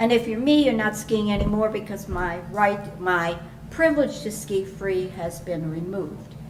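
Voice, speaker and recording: Noticeable background noise and audible room echo surround a woman who speaks at a moderate pace in a medium pitch with ordinary pitch variation. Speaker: resident speaking at public comment. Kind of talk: public comment at town council meeting.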